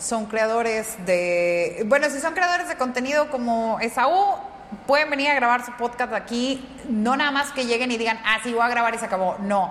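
A woman's fairly high voice with lively intonation, noticeable background noise behind her. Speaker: comic artist and manga teacher. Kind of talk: casual interview.

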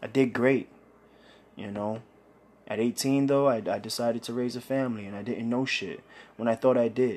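Speaking at a moderate pace with a New York accent, a man keeps a medium pitch and fairly even intonation. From Brooklyn, New York (Bushwick). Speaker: podcast host. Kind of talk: personal testimony monologue.

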